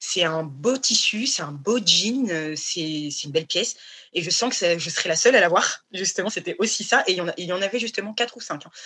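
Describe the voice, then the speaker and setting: Here is a woman with a normal speaking voice at medium pitch. She talks at a moderate pace with lively intonation. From Paris region, France. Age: 30s. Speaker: fashion designer, brand founder. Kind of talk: casual interview. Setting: remote online recording.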